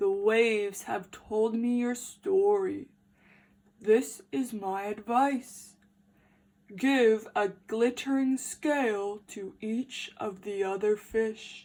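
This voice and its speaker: Using a put-on character voice, a woman speaks at a fairly high pitch and a very slow pace. The recording is very clean, with a silent background. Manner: wise, advising.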